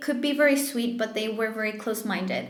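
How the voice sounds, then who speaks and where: Noticeable background noise and audible room echo surround the recording. A woman speaks with fairly even intonation. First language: French or Spanish. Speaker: tarot reader. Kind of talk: tarot reading monologue. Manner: casual, halting with fillers.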